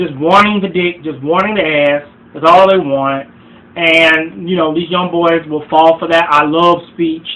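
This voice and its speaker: A fairly slow pace with fairly even intonation, over noticeable background noise. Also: man, high pitch for a man. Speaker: relationship advice vlogger. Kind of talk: vlog monologue. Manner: halting, many fillers and repeats.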